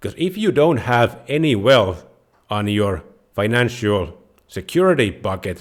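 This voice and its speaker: A man with a Finnish accent speaks at a fairly slow pace, his medium pitch making very wide swings. The recording is very clean, with a silent background. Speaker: personal finance YouTuber. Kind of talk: tutorial.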